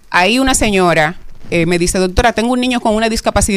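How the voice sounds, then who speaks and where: A woman talks with ordinary pitch variation. She has a normal speaking voice. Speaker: mental health advocate doctor. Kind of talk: radio interview.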